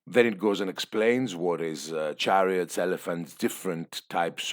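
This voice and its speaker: A man talks with vocal fry. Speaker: tabletop wargaming youtuber. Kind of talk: book flip-through review. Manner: hesitant, many fillers; fast.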